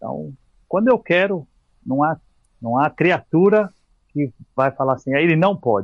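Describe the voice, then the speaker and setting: With lively intonation and long, frequent pauses, a man speaks at a fairly high pitch. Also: moderate pace. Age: 40s. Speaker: physical educator and mountaineer. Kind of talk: casual chat. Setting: podcast interview.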